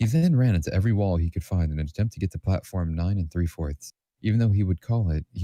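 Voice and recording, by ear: The speaker is reading aloud in a natural voice with ordinary pitch variation. The background is quiet.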